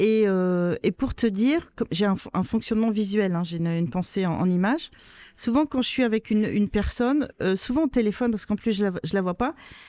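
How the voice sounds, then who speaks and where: A woman at a medium pitch talks at a fairly quick pace with lively intonation and a dark, mellow tone, in a dry, close sound with no echo and a very clean recording with a silent background. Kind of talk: interview. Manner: loud; interrupts often.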